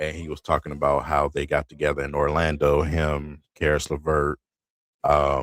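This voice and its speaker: A man speaks at a moderate pace in a very deep, low voice. Vocal fry runs through his speech. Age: 40s. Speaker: sports streamer. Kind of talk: live game commentary. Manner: quiet.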